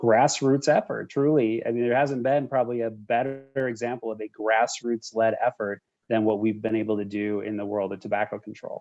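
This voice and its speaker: This man has an American accent and a normal speaking voice. His medium pitch shows ordinary variation at a moderate pace. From Minnesota. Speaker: cancer charity executive. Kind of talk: interview conversation.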